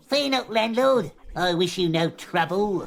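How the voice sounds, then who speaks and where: Someone performs a put-on character voice at middle pitch and a fairly slow pace. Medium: audio drama. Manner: formal, short-tempered.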